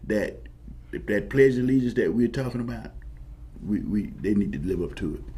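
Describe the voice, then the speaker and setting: A man talks fairly quickly in a space with audible room echo. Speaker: military veteran, former paratrooper. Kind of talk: talk show discussion. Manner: halting, repetitive restarts; impassioned.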